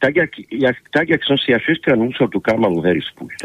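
Fairly high in pitch and marked by vocal fry, a man's voice swings very widely in pitch at a moderate pace. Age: 60s. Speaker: political analyst and party leader. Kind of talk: political interview. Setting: phone call. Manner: animated.

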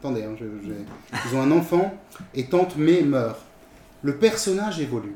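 A man talking at a moderate pace. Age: 40s. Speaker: new panel member, Star Wars fan. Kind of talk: casual chat.

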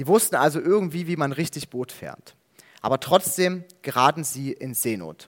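Recorded dry and close with no echo, a man speaks at a moderate pace. He has a plain, everyday voice, a fairly high pitch and ordinary pitch variation. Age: 20s. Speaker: theology student preaching. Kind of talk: sermon.

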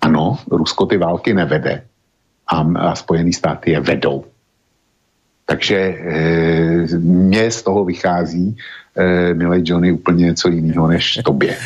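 With a very deep, low pitch, a man speaks at a fairly slow pace, using ordinary pitch variation and long, frequent pauses. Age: old. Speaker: blogger and radio co-host. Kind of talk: talk radio discussion.

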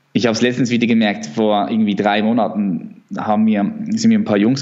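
A man talks with fairly even intonation inside audible room echo. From Switzerland. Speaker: natural bodybuilder. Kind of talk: interview. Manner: halting.

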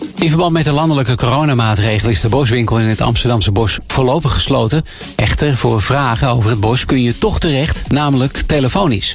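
A man's medium-pitched voice at a fairly quick pace, with hardly any pauses, ordinary pitch variation and very even loudness, over noticeable background noise. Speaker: local news reader. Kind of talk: news reading. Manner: formal, steady.

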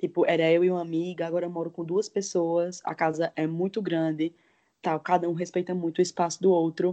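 A woman with a dark, mellow tone and a fairly low pitch. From Pernambuco, Brazil (Caruaru). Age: 20s. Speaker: advertising professional. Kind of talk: casual chat.

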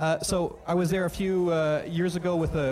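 Audible room echo and noticeable background noise mark this recording. A man speaks at a moderate pace with a fairly high pitch and monotone, flat intonation. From Belgium. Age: young. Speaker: experimental sound artist. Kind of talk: live stage performance talk between tracks; guided-imagery storytelling over ambient sound, meditation-style. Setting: club stage with live audience. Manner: hesitant, many ums and stumbles.

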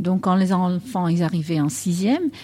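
Somewhat breathy, with a dark, mellow tone, a woman talks at a medium pitch and a fairly slow pace. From Netherlands. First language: Dutch (speaking French). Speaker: English teacher. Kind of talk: interview.

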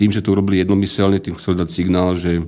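Fairly quick speech from a man with a very deep, low pitch. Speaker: macroeconomist. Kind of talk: radio interview. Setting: studio.

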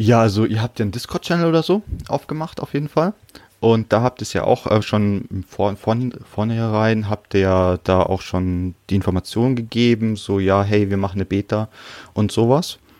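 A man with an ordinary speaking voice talks at a moderate pace, his pitch fairly low with ordinary variation. The sound is dry and close, with no echo. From Bavaria, Munich. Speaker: translator. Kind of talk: casual chat.

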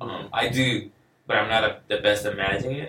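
A man speaks with a Spanish accent. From Venezuela. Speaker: musician. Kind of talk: casual chat.

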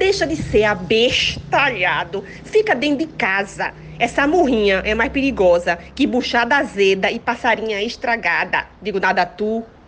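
Against noticeable background noise, a woman with a fairly high pitch talks at a moderate pace with lively intonation. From Pernambuco, Brazil (Santo Amaro, Recife). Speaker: comedy podcast co-guest. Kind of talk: comedic casual chat.

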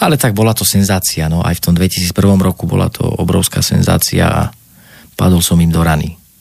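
Noticeable background noise sits behind a man with a very deep, low pitch. He talks at a fairly quick pace with very even loudness. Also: fairly even intonation. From Slovakia, Banská Bystrica. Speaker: actor. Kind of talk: interview.

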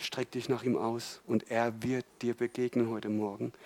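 A man's flat, monotone delivery in a dry, close sound with no echo. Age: 40s. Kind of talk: sermon.

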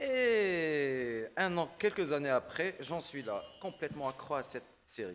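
Speaking at a very slow pace, a man with a fairly high pitch makes very wide pitch swings. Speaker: podcast co-host. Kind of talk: casual chat. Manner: halting.

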